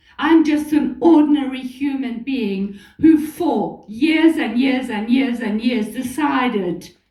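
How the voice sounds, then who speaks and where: The woman talks at a very slow pace with a high pitch and ordinary pitch variation. Room echo is audible. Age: 70s. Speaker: motivational speaker. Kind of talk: motivational talk. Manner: animated.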